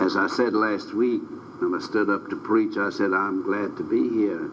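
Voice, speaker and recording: Noticeable background noise and audible room echo are present. Through them, a man talks at a moderate pace. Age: 80s+. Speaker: preacher. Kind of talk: sermon.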